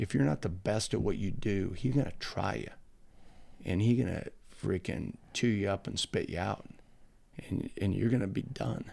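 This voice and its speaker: Lively intonation with vocal fry in an American accent, broken by long, frequent pauses. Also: man, fairly low pitch for a man, moderate pace. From Nebraska, US Midwest. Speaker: college football coach. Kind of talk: casual interview. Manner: energetic.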